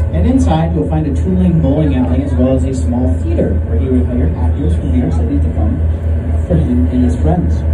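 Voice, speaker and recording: Fairly quick speech over music in the background. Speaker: tour guide. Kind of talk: tour commentary. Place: boat.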